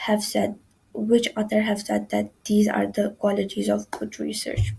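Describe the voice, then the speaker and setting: A woman speaks with a non-native accent. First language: not English. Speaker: student presenter. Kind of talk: tutorial. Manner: halting, with frequent self-corrections.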